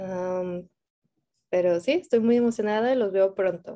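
A woman in a Spanish accent, medium pitch, a dark, mellow tone and fairly even intonation. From Mexico. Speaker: Spanish teacher. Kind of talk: bilingual self-introduction. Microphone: video call.

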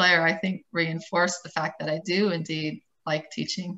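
The tone is bright and sharp, with monotone, flat intonation. The pace is moderate. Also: woman. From Dayton, Ohio; Ohio. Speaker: architect turned nonprofit educator; panelist. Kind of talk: panel discussion on video call. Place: home room. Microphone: webcam.

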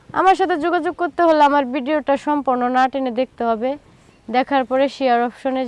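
Here a woman speaks at a high pitch with ordinary pitch variation. The sound is dry and close, with no echo. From Bangladesh, Trishal (Mymensingh). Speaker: woman seeking a marriage partner. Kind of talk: direct-to-camera appeal; interview.

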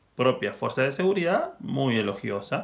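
The pace here is fairly slow. The voice belongs to a man. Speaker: film museum presenter. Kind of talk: casual spoken film introduction. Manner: hesitant, many fillers. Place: home room. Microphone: webcam.

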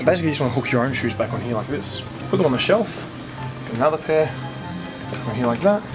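Clear music plays behind a man who talks at a very fast pace. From Australia. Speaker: vlogger. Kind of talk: casual talk to camera. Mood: joking, playful. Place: shop. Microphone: phone near.

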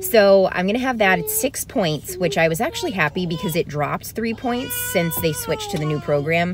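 The speech moves at a moderate pace. Noticeable background noise is present, and the sound is dry, with no echo. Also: woman. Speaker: lifestyle vlogger. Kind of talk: casual vlog chat. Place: car. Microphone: phone near.

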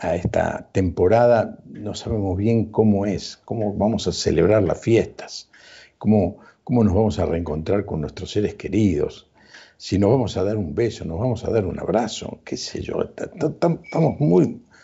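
Against a quiet background, a man with a somewhat breathy voice and fairly low pitch speaks at a fairly slow pace. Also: ordinary pitch variation. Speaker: TV show host. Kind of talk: show opening monologue. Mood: warm, smiling. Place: home room. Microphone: lapel.

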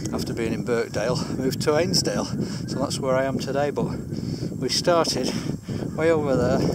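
A man talks at a moderate pace with ordinary pitch variation, the sound dry with no echo and loud noise behind him. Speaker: vlogger. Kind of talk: casual vlog chat. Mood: relaxed storytelling. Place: open country. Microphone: phone near.

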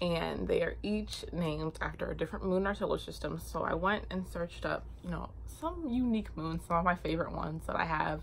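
A woman talking at a fairly quick pace amid noticeable background noise. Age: 20s. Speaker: beauty YouTuber and cosmetics founder. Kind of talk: casual product demo vlog. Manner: excitable; fast talker.

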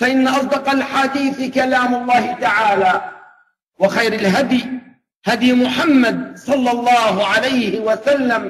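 A man's extremely high voice with ordinary pitch variation, a moderate pace and audible room echo. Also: fairly bright tone.

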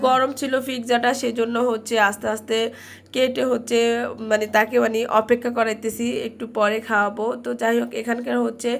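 Music in the background beneath monotone, flat intonation. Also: woman. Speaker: vlogger. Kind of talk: vlog narration. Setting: restaurant, then outdoors in the city.

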